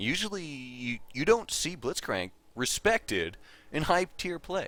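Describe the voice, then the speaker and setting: A man's fairly high voice with vocal fry and very wide pitch swings, at a fairly slow pace, on a very clean recording with a silent background. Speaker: game commentator. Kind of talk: esports match commentary.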